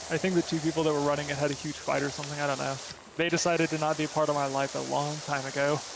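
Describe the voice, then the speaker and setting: Very fast-paced speech over noticeable background noise. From US South, Florida. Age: 30s. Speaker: streamer. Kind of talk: casual chat. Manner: animated.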